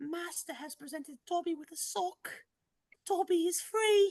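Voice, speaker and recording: A put-on character voice, extremely high in pitch. It sounds squeaky. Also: moderate pace. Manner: servile, joyful.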